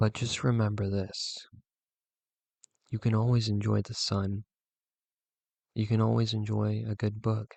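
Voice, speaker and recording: Against a quiet background, a man with a fairly low pitch speaks in a monotone, flat way at a fairly slow pace with long, frequent pauses. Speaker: youtuber. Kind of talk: monologue vlog. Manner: halting.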